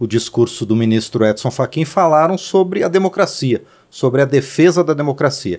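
Very wide pitch swings mark a man's dark, mellow voice as he talks at a moderate pace on a very clean recording with a silent background. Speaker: radio and TV host. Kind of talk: interview. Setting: studio.

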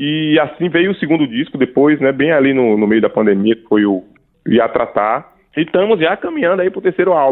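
At a moderate pace, a man with a fairly high pitch talks in a plain, everyday voice. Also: lively intonation. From Paraíba, Brazil. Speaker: pianist. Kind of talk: casual interview. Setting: radio studio.

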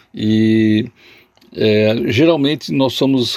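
There is noticeable background noise. Over it, a man talks with ordinary pitch variation. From southern Brazil, Jaguarão on the Uruguay border. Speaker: poet. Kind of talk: interview. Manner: hesitant, repeats words.

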